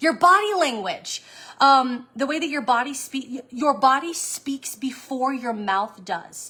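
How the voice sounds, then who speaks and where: Over noticeable background noise, a woman speaks with a high pitch and lively intonation. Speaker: online sales coach. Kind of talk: live stream talk. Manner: fast.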